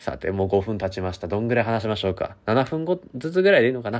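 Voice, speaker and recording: Racing at a very fast pace, a man speaks with ordinary pitch variation. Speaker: university student radio host. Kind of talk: solo talk.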